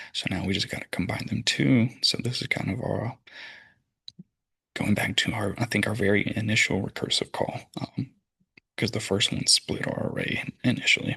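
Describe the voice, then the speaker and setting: A man talks at a moderate pace with long, frequent pauses. His fairly low voice has a bright, sharp tone and fairly even intonation. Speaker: computer science student. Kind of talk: tutorial. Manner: casual with fillers.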